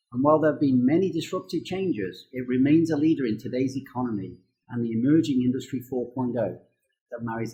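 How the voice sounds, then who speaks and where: This man's somewhat breathy voice sits at medium pitch, moving at a fairly quick pace with ordinary pitch variation. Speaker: university dean. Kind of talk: scripted introduction to camera.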